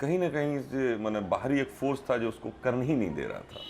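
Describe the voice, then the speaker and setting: The pace is moderate. Vocal fry runs through the voice. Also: man. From India, Jharkhand (Dhanbad). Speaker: film actor. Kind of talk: interview.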